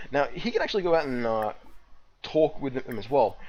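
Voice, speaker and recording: Noticeable background noise sits behind a man whose fairly high-pitched voice has lively intonation. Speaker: gaming video host. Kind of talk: let's play commentary. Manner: fast; casual, with frequent fillers and restarts.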